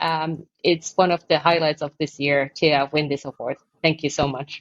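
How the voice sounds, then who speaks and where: A woman speaks in a very deep, low pitch with a Finnish accent. Her intonation is monotone and flat. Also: moderate pace. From Finland. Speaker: architect and construction consultant, award recipient. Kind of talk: podcast interview.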